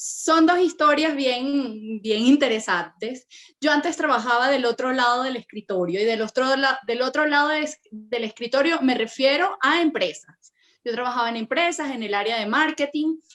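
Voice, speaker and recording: A woman speaks in a Venezuelan accent at a high pitch. Her pace is moderate, with ordinary pitch variation. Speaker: personal branding consultant. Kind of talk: interview.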